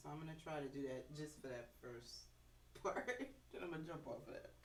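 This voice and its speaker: A woman speaks at a moderate pace with a very deep, low pitch and ordinary pitch variation. Noticeable background noise and audible room echo surround her. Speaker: bassist and music teacher. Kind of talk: casual chat. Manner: loud.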